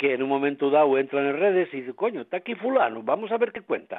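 A man is speaking. His pitch swings very widely. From Asturias. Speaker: musician. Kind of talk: radio interview. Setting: at home.

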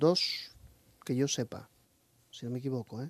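In a dry, close recording with no echo, a man speaks at a medium pitch with fairly even intonation. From Asturias, Spain (Lugones). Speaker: heavy metal singer. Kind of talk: radio interview. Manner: halting, many fillers.

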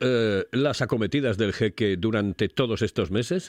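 At a fairly slow pace, a man with a plain, everyday voice speaks with lively intonation, in a dry, close sound with no echo and a quiet background. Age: 60s. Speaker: radio host. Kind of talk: casual chat.

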